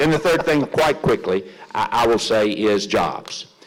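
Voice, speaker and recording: A man's medium-pitched voice with a West Tennessee accent and ordinary pitch variation. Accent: Southern US (West Tennessee). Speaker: politician. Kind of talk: closing statement at candidate forum. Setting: public forum in a library with audience. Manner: halting, many fillers and repetitions.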